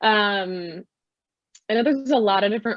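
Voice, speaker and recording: Ordinary pitch variation marks the woman's delivery, in a normal speaking voice. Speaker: photographer. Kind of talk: interview.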